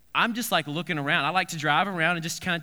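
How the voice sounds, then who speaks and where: High-pitched male speech with ordinary movement in pitch. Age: 30s. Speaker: pastor. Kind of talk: sermon. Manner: halting.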